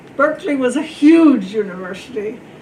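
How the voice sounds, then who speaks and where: Audible room echo and noticeable background noise surround the speaker. She is a woman talking at a moderate pace. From South America. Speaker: librarian, civic league member. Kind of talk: panel storytelling. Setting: panel with student audience.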